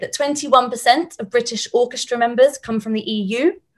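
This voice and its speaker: The speaker has a southern English accent. The pace is moderate and the pitch varies in an ordinary way. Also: woman. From Portsmouth, England. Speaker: student composer. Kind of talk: panel discussion. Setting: video call.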